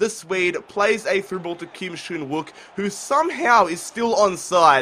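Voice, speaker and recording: A man with an Australian accent, high-pitched and fairly slow, with lively intonation and big swings in loudness. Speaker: gaming YouTuber. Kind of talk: gameplay commentary. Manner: relaxed, chilled.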